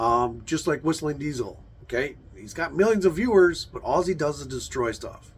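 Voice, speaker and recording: Lively intonation in a man's somewhat breathy voice. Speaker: YouTuber, car channel host. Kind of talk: casual vlog monologue. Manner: hesitant, many fillers.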